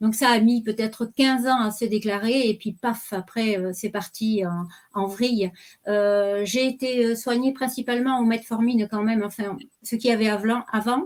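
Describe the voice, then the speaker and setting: Speaking at a moderate pace, a woman with a fairly high voice keeps her intonation fairly even on a very clean recording with a silent background. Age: 60s. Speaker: retiree sharing health testimony. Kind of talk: testimony. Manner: hesitant.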